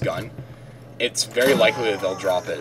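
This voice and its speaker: Behind this recording there is noticeable background noise. A man talks over it very fast. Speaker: gaming video creator. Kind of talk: let's play commentary. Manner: animated.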